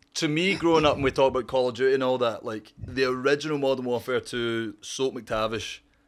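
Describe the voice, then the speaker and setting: In a Scottish accent, a man speaks at medium pitch and a fairly quick pace with hardly any pauses. His intonation is fairly even, and the recording is very clean with a silent background. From Scotland. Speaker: streamer. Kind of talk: casual chat.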